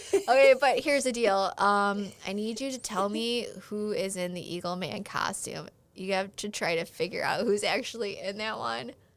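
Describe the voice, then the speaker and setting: Moderate pace and hardly any pauses from a woman with a Chicago accent, medium in pitch, with ordinary pitch variation. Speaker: loan officer. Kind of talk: interview. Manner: animated.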